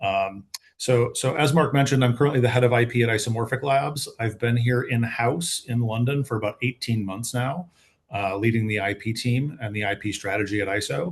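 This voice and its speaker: A man speaks fairly quickly with an American accent. His medium-pitched voice is somewhat breathy, with ordinary pitch variation. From United States. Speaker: patent attorney. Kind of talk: panel webinar. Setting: online webinar.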